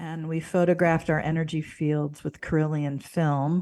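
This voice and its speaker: Spoken with an American accent in a dark, mellow tone, the voice stays monotone and flat over a very clean recording with a silent background. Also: woman. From US Midwest, St. Louis, Missouri. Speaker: spiritual mentor and yoga instructor. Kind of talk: interview conversation.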